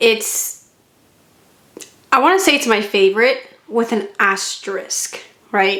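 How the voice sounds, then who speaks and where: Lively intonation at a very slow pace, with long, frequent pauses. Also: woman, fairly high pitch for a woman. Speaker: model kit reviewer. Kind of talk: product review vlog. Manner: casual, chatty.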